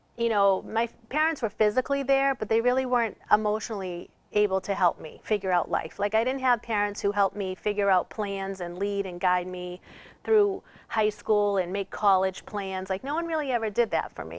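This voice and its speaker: In a quiet background, a woman with a medium pitch speaks at a fairly quick pace, her pitch varying in an ordinary way. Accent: Boston. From Boston area, Massachusetts. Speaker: author and trafficking survivor. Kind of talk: interview testimony. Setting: TV studio.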